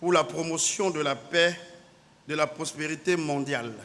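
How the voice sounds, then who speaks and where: Fairly slow delivery from a man, pitch varying in an ordinary way. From Cameroon. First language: native Cameroonian language (speaking French). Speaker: naval officer. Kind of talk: conference speech. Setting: conference hall. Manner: formal.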